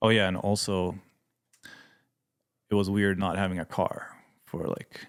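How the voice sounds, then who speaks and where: Fairly slow, monotone speech with flat intonation, long, frequent pauses and a Swedish accent. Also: man, fairly low pitch for a man. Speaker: missionary pilot and mechanic. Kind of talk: podcast interview. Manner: halting, many fillers.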